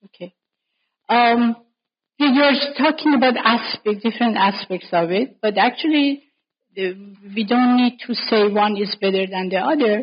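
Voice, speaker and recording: A woman with a fairly high, somewhat breathy voice speaks at a moderate pace with ordinary pitch variation. She leaves long, frequent pauses. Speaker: scholar leading a panel discussion. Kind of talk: academic panel discussion. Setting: conference panel. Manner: unscripted, spontaneous.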